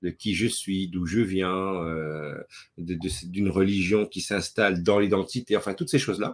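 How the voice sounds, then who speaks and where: A man speaks with a fairly low pitch. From Belgium, Brussels. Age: 40s. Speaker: playwright and director. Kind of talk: interview talk. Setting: webinar video call. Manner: hesitant with fillers and repetitions.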